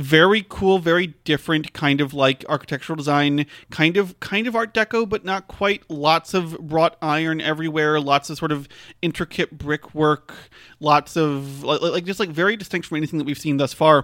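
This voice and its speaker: A man talks at a moderate pace in a fairly high pitch, with an animated tone and ordinary pitch variation, on a very clean recording with a silent background and a dry, close sound with no echo. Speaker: podcast co-host. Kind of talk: casual chat recapping a video game. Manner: animated, laughs often.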